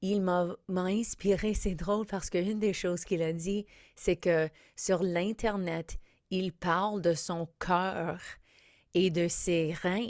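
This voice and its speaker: At a very slow pace with long, frequent pauses, the speaker keeps a fairly even intonation on a very clean recording with a silent background. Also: woman, medium pitch for a woman. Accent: English. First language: English (speaking French). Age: 50s. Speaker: comedian and podcast host. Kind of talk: podcast intro monologue. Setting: studio.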